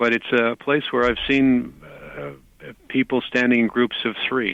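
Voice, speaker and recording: A man with a Canadian accent speaks in a plain, everyday voice at a fairly slow pace. His pitch sits in the medium range and varies in an ordinary way. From Canada. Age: 60s. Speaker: psychic. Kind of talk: interview.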